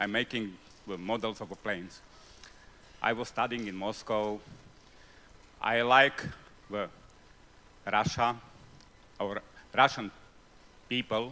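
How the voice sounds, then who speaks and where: With a non-native accent, the speaker goes at a fairly slow pace with long, frequent pauses, a bright, sharp tone and ordinary pitch variation. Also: man. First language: not English. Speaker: audience member asking a question. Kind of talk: festival panel Q&A. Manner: halting.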